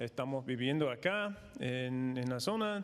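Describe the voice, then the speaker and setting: Lively intonation marks this man's delivery. He speaks very slowly with an American accent. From United States. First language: English (speaking Spanish). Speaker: missionary and former pastor. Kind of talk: conference talk. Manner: halting, many fillers.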